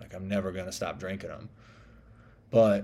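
A man with a Southern US accent and a fairly low pitch. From US South. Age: 30s. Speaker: podcast host. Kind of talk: casual monologue. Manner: rambling, many fillers.

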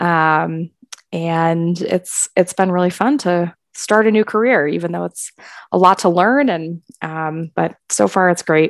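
With an American accent, a woman uses an unremarkable speaking voice at a fairly low pitch and fairly slow pace, with ordinary pitch variation, in a very clean recording with a silent background and a dry, close sound with no echo. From Wisconsin, Milwaukee. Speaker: college counselor. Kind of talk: casual chat.

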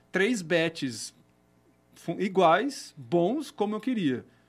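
A man talks in a high-pitched voice while music plays in the background. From Brazil, Campinas (São Paulo state). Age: 20s. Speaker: craft brewer and entrepreneur. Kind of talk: casual chat.

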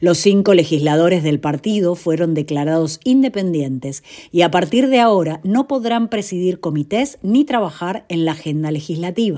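With hardly any pauses, a woman with a fairly low pitch talks in a dark, mellow tone and lively intonation. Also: moderate pace. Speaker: news presenter. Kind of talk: scripted news reading, brisk and businesslike bond-market headlines. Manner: formal; steady, even-paced, neutral delivery.

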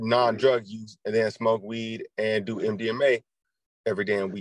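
Speaking at a moderate pace, a man keeps his medium-pitched voice in a flat monotone. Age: 20s. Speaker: podcast co-host. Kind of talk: casual chat.

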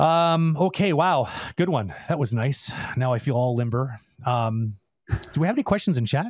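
A man's fairly high voice with lively intonation and very even loudness, on a very clean recording with a silent background. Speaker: animation industry mentor. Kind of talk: casual Q&A livestream. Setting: video livestream. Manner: fast talker.

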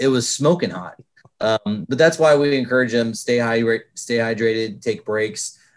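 A man speaks at a medium pitch in a plain, everyday voice with fairly even intonation. The recording is very clean with a silent background. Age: 40s. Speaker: minor league baseball general manager. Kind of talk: podcast interview.

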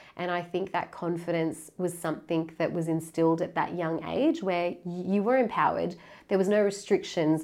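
In an Australian accent, a woman speaks with a fairly low pitch. Her intonation is fairly even, and her pace is moderate. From Sydney, Australia. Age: 30s. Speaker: charity founder and community engagement head. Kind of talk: interview conversation.

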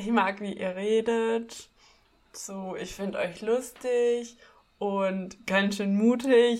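This woman talks at a very slow pace with a fairly high pitch. Her intonation is monotone and flat, and her loudness swings widely. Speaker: podcast co-host. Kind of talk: casual chat.

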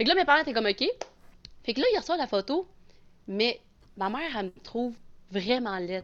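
A woman with a high pitch speaks at a fairly quick pace, her voice making very wide pitch swings, broken by long, frequent pauses. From Quebec, Abitibi. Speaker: adoptee sharing her story. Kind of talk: casual chat.

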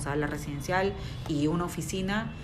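A woman speaks at a moderate pace with a very deep, low pitch and fairly even intonation. Room echo is audible, and there is noticeable background noise. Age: 40s. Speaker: interior designer. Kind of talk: interview.

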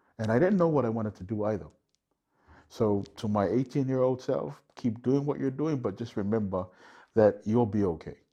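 A man's dark, mellow, medium-pitched voice with a Samoan accent, lively intonation and a moderate pace. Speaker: guest host and corporate MC. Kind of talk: casual chat.

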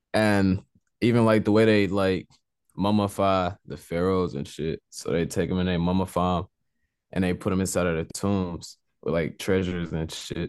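Fairly even intonation marks this man's speech. His pitch is very deep and low. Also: moderate pace, quiet background. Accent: Texan. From Southeast Texas. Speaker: rapper. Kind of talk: casual interview.

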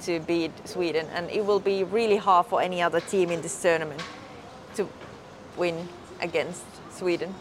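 A woman with a Finnish accent is heard over noticeable background noise. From Finland. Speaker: podcast host. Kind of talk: casual chat. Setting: outdoors by hotel pool.

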